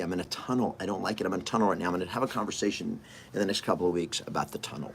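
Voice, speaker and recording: A man talks at a very fast pace in an animated tone, with ordinary pitch variation. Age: 50s. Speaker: real estate coach and podcaster. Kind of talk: motivational monologue.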